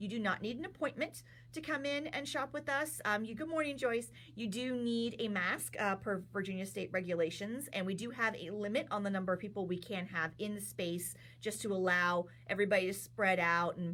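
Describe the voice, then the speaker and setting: With lively intonation, a woman speaks at a fairly quick pace in a medium-pitched voice. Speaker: yarn shop owner and livestream host. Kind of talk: live stream product talk. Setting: livestream from yarn shop. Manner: fast.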